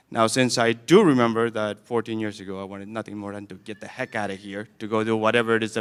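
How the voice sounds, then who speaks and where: Delivered at a very fast pace, the speech carries a non-native accent. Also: man. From Camden, Maine, immigrant childhood. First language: not English. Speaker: graduation guest speaker, alumnus. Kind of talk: commencement speech. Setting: school gym with audience.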